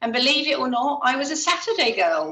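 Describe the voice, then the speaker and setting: A woman with a high pitch uses a raised, projected voice. Audible room echo surrounds her. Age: 60s. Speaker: hospital ward clerk. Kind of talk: retirement speech on video call. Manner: chatty.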